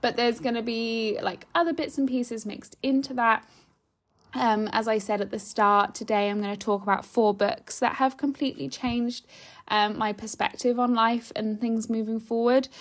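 Over a very clean recording with a silent background, a woman speaks at a moderate pace with ordinary pitch variation in an ordinary speaking voice. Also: fairly high pitch for a woman. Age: 20s. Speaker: podcast host, former teacher. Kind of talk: solo casual podcast monologue. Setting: home. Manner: chatty, frequent laughs and fillers.

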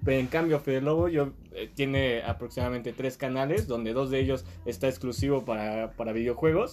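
A man with a Mexican accent speaks in a medium-pitched voice. His pace is fairly quick, with hardly any pauses. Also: ordinary pitch variation. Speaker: podcast guest. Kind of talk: casual chat.

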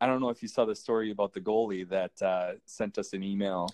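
At a moderate pace, the speech sounds dry and close with no echo against a quiet background. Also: man. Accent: Upper Midwest. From Minnesota. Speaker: hockey stats volunteer. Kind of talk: interview.

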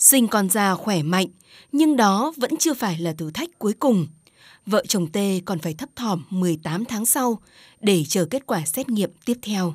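The speech moves at a fairly slow pace with very wide swings in pitch. The recording is very clean, with a silent background. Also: woman, medium pitch for a woman. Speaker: radio program host. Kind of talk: scripted narration.

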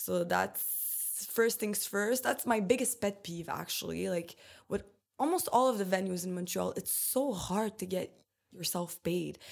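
A woman with vocal fry speaks at a fairly slow pace, using a medium pitch and ordinary pitch variation. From Romania. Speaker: DJ. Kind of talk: casual chat.

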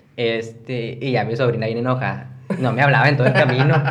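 With audible room echo and noticeable background noise, a man speaks at a medium pitch with fairly even intonation. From Mexico, Coahuila. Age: 20s. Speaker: content creator. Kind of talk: casual chat.

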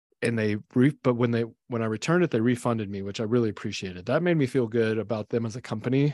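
Speaking very fast with hardly any pauses, a man uses a medium pitch and ordinary pitch variation. The sound is dry and close, with no echo. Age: 40s. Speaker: business owner, company CEO. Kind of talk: casual chat.

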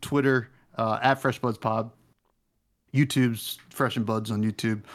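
A man talks at a moderate pace with fairly even intonation in an unremarkable speaking voice. The recording is very clean, with a silent background. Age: 30s. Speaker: podcast host guest. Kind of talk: casual chat.

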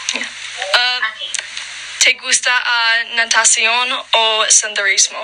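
Very slow speech in a flat monotone, broken by long, frequent pauses over noticeable background noise. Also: woman, fairly high pitch for a woman. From Colorado mountains, US. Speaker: Spanish student. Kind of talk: language practice conversation. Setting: video call. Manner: halting, hesitant beginner speech.

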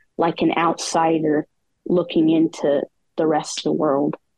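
This woman talks at a moderate pace with a fairly low pitch in a plain, everyday voice. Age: 20s. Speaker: poet with a rare disease. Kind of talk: casual interview.

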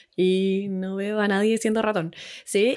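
A woman with a Chilean accent speaks at a very slow pace on a very clean recording with a silent background. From Chile, Santiago. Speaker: nutritionist. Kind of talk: podcast interview.

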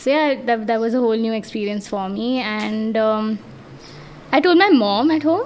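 Amid noticeable background noise, a woman speaks with a fairly high pitch and ordinary pitch variation. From India. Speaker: powerlifter. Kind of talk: casual chat.

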